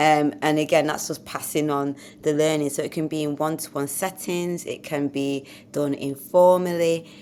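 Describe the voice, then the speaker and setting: A woman speaks at a moderate pace with a Mancunian accent, her very deep, low voice holding a flat, monotone intonation. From Manchester, northern England. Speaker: podcast co-host. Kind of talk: casual educational chat.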